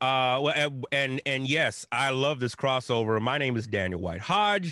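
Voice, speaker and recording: A man's medium-pitched, a normal speaking voice, with ordinary pitch variation at a moderate pace. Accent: American. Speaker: religion scholar. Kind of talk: casual chat.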